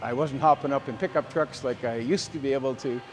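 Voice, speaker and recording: With a Canadian prairie accent, a man speaks at a fairly high pitch amid noticeable background noise. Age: 60s. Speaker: farmer, gym client. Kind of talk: testimonial interview. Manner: casual, halting with fillers and repetitions.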